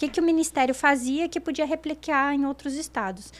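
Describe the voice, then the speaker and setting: High-pitched speech from a woman, very clean recording, silent background. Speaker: innovation consultant. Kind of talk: podcast interview.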